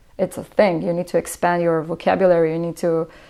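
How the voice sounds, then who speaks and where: A woman's dark, mellow, fairly low voice with an Israeli accent, at a moderate pace. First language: Hebrew. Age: 20s. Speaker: musician. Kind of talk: interview. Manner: halting, many fillers.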